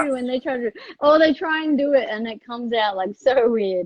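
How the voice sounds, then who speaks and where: Speaking with an Australian accent, this voice moves at a fairly quick pace with lively intonation. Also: woman, high pitch for a woman. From Melbourne, Australia. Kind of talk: casual conversational.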